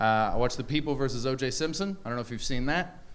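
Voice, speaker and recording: This man speaks with a Canadian accent. Room echo can be heard around his voice. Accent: North American (Canadian). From Canada. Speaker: stand-up comedian. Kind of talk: stand-up. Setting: stage with audience.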